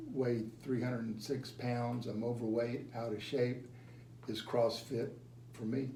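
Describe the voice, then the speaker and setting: With audible room echo, a man at a medium pitch talks at a fairly slow pace in a monotone, flat intonation. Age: 60s. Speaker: gym member. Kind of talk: interview testimony. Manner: halting, repeats words.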